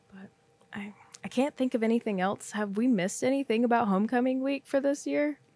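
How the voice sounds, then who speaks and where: At a fairly quick pace, a woman with fairly high pitch and ordinary pitch variation speaks with big swings in loudness, the sound dry and close with no echo, and noticeable background noise. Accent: Texan. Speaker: podcast host, college peer financial coach. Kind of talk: casual chat.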